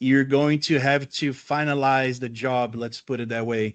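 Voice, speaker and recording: A man with a Brazilian accent, a fairly high pitch, fairly even intonation and a fairly slow pace. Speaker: landscaping educator. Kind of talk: lecture.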